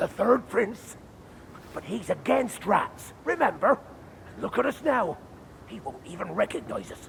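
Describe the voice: A man puts on a character voice with a high pitch, big pitch swings and vocal fry. His tone is fairly bright, and he talks at a fairly slow pace.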